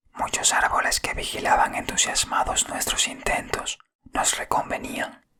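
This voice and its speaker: The words come out in a whisper. They move at a fairly slow speed. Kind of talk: whispered audiobook reading of a story. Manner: whispered.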